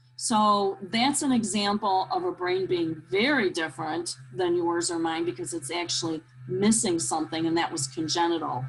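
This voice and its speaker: A woman's fairly low voice at a moderate pace, with lively intonation and hardly any pauses, over noticeable background noise. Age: 60s. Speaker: nurse and training specialist presenter. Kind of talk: webinar presentation with Q&A. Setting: video call webinar. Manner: hesitant, many fillers.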